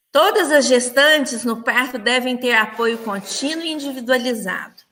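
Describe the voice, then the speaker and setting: Her voice is high-pitched, bright and sharp, with lively intonation as she speaks at a fairly slow pace. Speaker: nursing professor. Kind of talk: lecture. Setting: online livestream.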